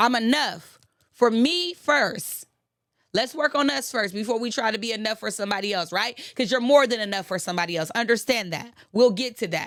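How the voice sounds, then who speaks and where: Lively intonation and an animated tone from a woman at a fairly high pitch and a moderate pace. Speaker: motivational podcast host. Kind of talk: motivational talk.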